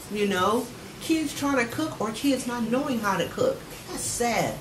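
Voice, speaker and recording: A woman with an American accent speaks at a moderate pace in a high voice, with audible room echo and noticeable background noise. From San Francisco, California. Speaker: youth agency founder. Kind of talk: TV interview.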